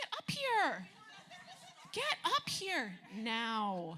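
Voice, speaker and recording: A woman's put-on character voice, fairly high in pitch, over clear background noise. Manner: stern, commanding.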